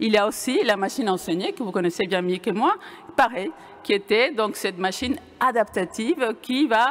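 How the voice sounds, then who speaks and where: At a fairly quick pace, a woman with a Venezuelan accent speaks at medium pitch with ordinary pitch variation. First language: Spanish (speaking French). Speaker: computer science professor. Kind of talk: conference talk. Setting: lecture hall with audience. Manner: hesitant, many fillers and restarts.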